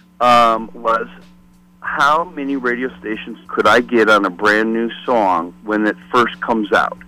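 Music plays in the background. A man with an American accent talks at a fairly slow pace. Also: medium pitch for a man, ordinary pitch variation. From US Midwest, Detroit. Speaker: former record promotion rep and podcaster. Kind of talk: casual interview chat.

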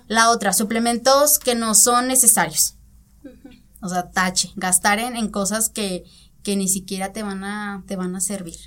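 A woman talks in a normal speaking voice at a medium pitch, with ordinary pitch variation. Her pace is fairly slow, and her loudness swings widely. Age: 20s. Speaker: nutritionist. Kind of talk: interview. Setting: studio.

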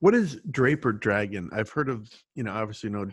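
With a fairly low pitch and a normal speaking voice, a man talks at a moderate pace. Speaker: podcast host. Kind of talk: interview.

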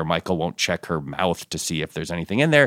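In an American accent, the speech comes through dry and close with no echo, on a very clean recording with a silent background. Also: man. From suburban Connecticut, US. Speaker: TV writer and producer. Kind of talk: casual interview chat.

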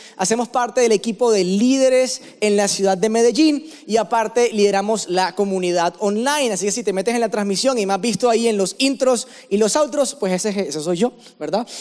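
A man's high, animated voice in a Colombian coastal accent, at a fairly quick pace with ordinary pitch variation, over noticeable background noise. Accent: Colombian coastal (costeño). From Barranquilla, Colombian Caribbean coast. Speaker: pastor. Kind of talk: sermon.

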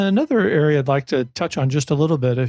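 In a dry, close sound with no echo, a man speaks with a fairly high pitch and a somewhat breathy, dark, mellow tone. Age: 60s. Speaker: podcast host. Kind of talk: interview.

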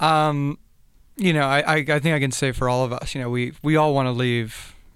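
Speaking fairly quickly with an American accent, a man has an ordinary speaking voice and fairly even intonation. The recording is very clean, with a silent background. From South Florida, US. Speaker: former college basketball player. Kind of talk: casual interview. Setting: studio.

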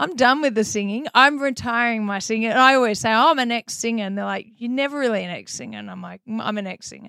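A woman talks at a very fast pace with hardly any pauses, her fairly high pitch showing ordinary variation. Her loudness swings widely on a very clean recording with a silent background. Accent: Australian. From Melbourne, Australia. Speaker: DJ and artist, former pro tennis player. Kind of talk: casual interview chat.

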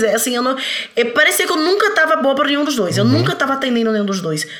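Raised and projected, a woman's high voice makes very wide pitch swings amid noticeable background noise and audible room echo. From Bahia, Brazil. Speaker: parenting author. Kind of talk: casual chat.

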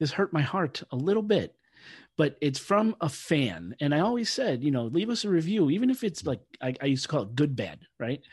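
A man speaks at a fairly quick pace with very wide pitch swings. His voice is somewhat breathy. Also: fairly high pitch for a man, quiet background. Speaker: podcast host. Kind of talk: casual podcast chat.

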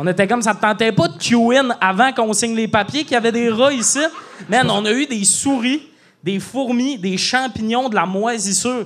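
A man speaks in a high voice at a moderate pace, with ordinary pitch variation. Noticeable background noise is present. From Quebec, Lac-Saint-Jean region. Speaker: comedian. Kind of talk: casual chat. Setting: stage with audience. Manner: animated.

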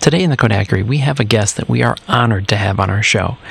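Lively intonation from a man, with noticeable background noise behind him. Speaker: podcast host. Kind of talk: interview.

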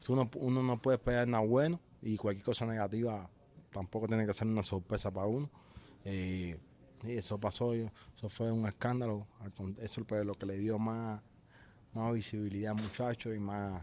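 A man speaks in a fairly low pitch with a dark, mellow tone, keeping his intonation fairly even and leaving long, frequent pauses. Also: moderate pace. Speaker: professional boxer. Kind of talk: interview. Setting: boxing gym. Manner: halting.

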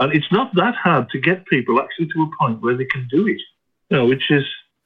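Music plays in the background. The speaker has a British accent and lively intonation. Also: man. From UK. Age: 50s. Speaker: caller, psychiatric nurse. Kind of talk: phone-in question. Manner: halting.

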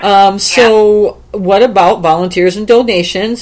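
This woman's intonation stays fairly even while noticeable noise is heard behind her. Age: old. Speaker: podcast host. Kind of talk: casual interview. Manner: halting, many fillers.

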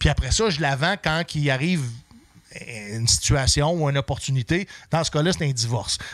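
Long, frequent pauses break up a man's fairly quick speech, delivered at a fairly high pitch with ordinary pitch variation. His loudness stays very even. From Quebec City. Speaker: comedian and military veteran. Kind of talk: casual chat.

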